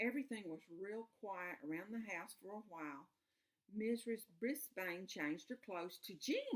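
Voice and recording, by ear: The setting is quiet. A speaker reads aloud in a natural voice.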